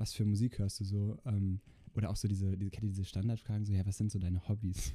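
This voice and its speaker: A man with a fairly low pitch speaks at a very fast pace in a monotone, flat way, his loudness very even. His voice is somewhat breathy, with a dark, mellow tone. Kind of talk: casual chat.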